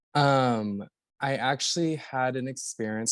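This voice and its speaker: Against a quiet background, a man with an American accent speaks fairly slowly in a normal speaking voice of medium pitch, with fairly even intonation and a dry, close sound with no echo. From Florida (Orlando). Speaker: actor and podcast guest. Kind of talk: casual interview.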